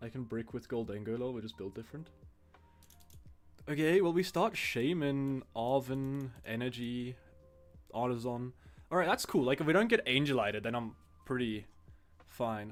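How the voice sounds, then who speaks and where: A man with a medium pitch speaks at a moderate pace with ordinary pitch variation, long and frequent pauses, and big swings in loudness. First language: not English. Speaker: card game streamer. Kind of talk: live stream gameplay commentary. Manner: casual, halting with fillers.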